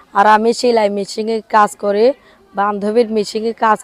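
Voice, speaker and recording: A woman's fairly high voice in a monotone, flat intonation, the sound dry and close with no echo. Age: 20s. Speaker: interviewee, seamstress. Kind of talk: interview.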